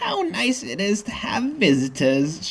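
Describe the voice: A raspy, put-on character voice at a middle pitch, with very wide pitch swings and a fairly slow pace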